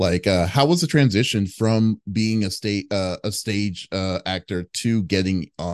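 A man's voice at a fairly slow pace, with ordinary pitch variation. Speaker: interviewer. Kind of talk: casual interview. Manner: filler-heavy, stumbling.

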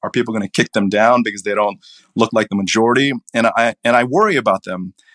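With an American accent, a man in an ordinary speaking voice talks fairly quickly at a medium pitch, the sound dry and close with no echo in a very clean recording with a silent background. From Asia, then Virginia from high school. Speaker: finance blogger and retired finance professional. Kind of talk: podcast interview.

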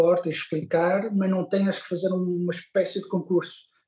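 Speaking at a fairly slow pace, a man has a high-pitched voice with a dark, mellow tone. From Porto, northern Portugal. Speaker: music promoter and festival organiser. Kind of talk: casual interview.

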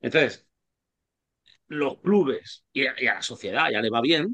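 A bright, sharp tone with lively intonation. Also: man. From Spain, Alicante province. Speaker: basketball coach and language teacher. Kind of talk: casual interview.

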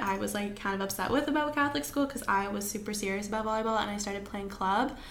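With audible room echo and noticeable background noise, a woman talks very fast in a fairly high pitch with ordinary pitch variation. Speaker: podcast co-host. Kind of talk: casual chat.

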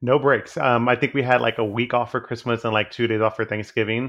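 Speaking at a medium pitch, a man talks with an American accent. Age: 30s. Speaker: hospice nurse. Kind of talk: casual interview chat. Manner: hesitant, filler-heavy.

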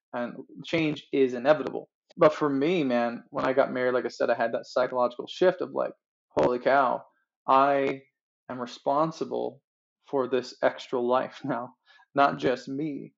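Delivered at a moderate pace with fairly even intonation, this is an ordinary speaking voice. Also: man, medium pitch for a man. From Newfoundland, Canada. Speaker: worship pastor and vocal coach. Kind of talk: casual interview chat.

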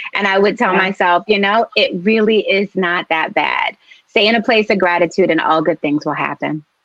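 Recorded with a dry, close sound with no echo, a woman with an ordinary speaking voice talks at a moderate pace, her medium pitch varying in an ordinary way. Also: very even loudness. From US Northeast, Philadelphia. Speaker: novelist. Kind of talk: interview.

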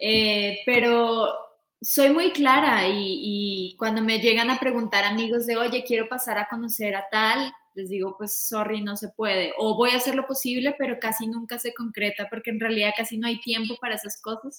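Hers is an unremarkable speaking voice, fairly high in pitch, with fairly even intonation and a moderate pace. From Colombia, Bogotá. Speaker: music tour manager. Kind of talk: casual interview.

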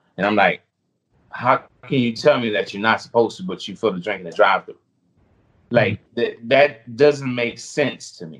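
Someone with a US Virgin Islands accent speaks at a moderate pace, with lively intonation and big swings in loudness. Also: man, medium pitch for a man. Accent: Caribbean (US Virgin Islands). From U.S. Virgin Islands. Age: 30s. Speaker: food delivery driver and YouTuber. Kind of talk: casual interview chat.

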